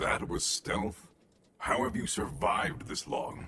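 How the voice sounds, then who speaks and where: This is a put-on character voice with a raspy sound. It moves at a fairly slow pace. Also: man. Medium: video game. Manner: deadpan, menacing.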